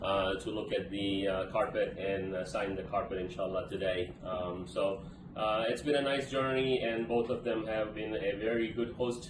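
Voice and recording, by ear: A man's fairly low voice moves at a fairly slow pace with fairly even intonation, set in audible room echo.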